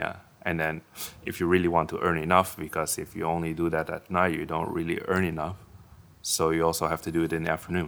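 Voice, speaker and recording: A man with a very deep, low pitch speaks in a flat monotone. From Netherlands. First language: Dutch (speaking Chinese). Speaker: Dutch husband living in Taiwan. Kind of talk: casual chat. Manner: halting.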